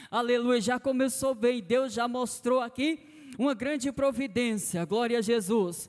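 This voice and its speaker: Extremely high in pitch, a man speaks at a fairly slow pace. His loudness stays very even throughout. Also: ordinary pitch variation. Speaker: church elder preaching. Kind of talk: sermon. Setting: church. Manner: soft-spoken.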